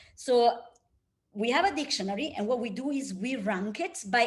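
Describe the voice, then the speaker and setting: Fairly quick, lively speech from a woman with a fairly high pitch, plus audible room echo. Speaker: research scientist. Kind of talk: lecture. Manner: fast.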